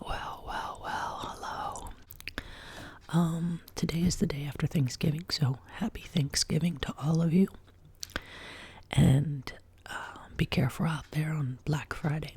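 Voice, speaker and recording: Soft-spoken whispering at a fairly slow pace, with long, frequent pauses. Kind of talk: ASMR soft-spoken whisper talk to camera. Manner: soft-spoken, whispered.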